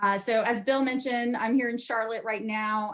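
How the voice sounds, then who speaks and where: A woman talks at a moderate pace with an American accent. Her tone is bright and sharp. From US Southeast, teen years in Ohio. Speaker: market research leader. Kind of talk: conference presentation.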